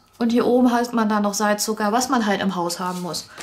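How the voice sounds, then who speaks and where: Lively intonation from a woman. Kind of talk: casual unboxing explanation.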